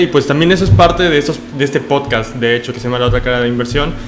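A man talks at a very fast pace. Audible room echo and noticeable background noise fill the recording. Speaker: podcast host. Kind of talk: casual interview.

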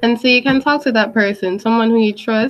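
Music plays in the background as a woman speaks in an animated tone at a fairly high pitch. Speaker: podcast host. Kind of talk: casual chat.

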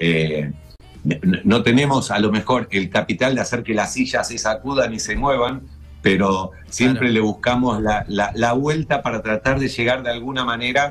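A man talks with lively intonation. Music plays in the background. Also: medium pitch for a man, moderate pace. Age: 60s. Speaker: TV show creator. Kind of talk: casual chat.

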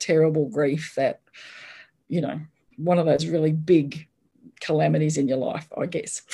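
Very deep and low for a woman, her voice has a dark, mellow tone, an Australian accent and fairly even intonation. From Australia, Brisbane. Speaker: author. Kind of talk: casual interview chat.

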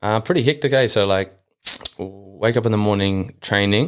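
A man with a New Zealand accent speaks at a moderate pace on a very clean recording with a silent background. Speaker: football player and youth coach. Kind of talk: casual chat.

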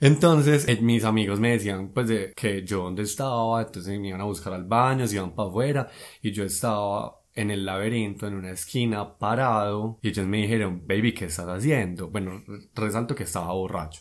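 At a fairly quick pace, a man with a fairly low pitch, ordinary pitch variation and an unremarkable speaking voice is heard on a very clean recording with a silent background. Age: 20s. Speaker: guest storyteller. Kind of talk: casual chat.

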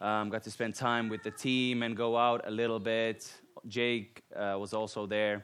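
A man with a Finnish accent speaks at a fairly slow pace. His medium-pitched voice stays monotone and flat. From Finland. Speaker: guest preacher. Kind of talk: sermon. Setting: church.

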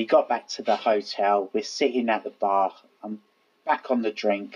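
In a Cockney accent, a man talks at a moderate pace with a medium pitch. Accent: Cockney, London. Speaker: podcast co-host. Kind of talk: casual, conversational storytelling.

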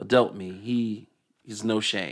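Speaking with a Southern US accent, a man has a fairly low pitch, a bright, sharp tone and a fairly slow pace. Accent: Southern US (Georgia). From Decatur, Georgia.

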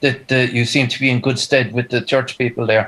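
A man speaks with a Kerry accent. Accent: Kerry Irish. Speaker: musician. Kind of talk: casual chat. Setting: video call.

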